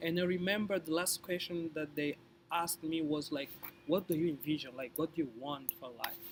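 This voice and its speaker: Against noticeable background noise, a man talks fairly quickly at a fairly high pitch with fairly even intonation. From Angola. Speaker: scholarship recipient sharing interview tips. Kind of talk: casual interview. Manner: halting, repeated words.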